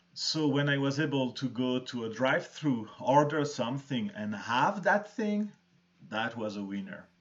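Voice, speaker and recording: A man with a strong non-native accent speaks at a moderate pace. His fairly high voice has very wide pitch swings. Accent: thick foreign. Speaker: arts centre host. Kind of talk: live-stream interview chat.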